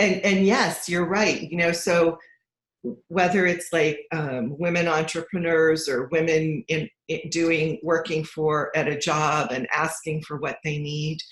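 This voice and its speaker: A normal speaking voice at a fairly slow pace, with fairly even intonation. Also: woman, fairly low pitch for a woman. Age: 60s. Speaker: financial coach. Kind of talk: casual chat.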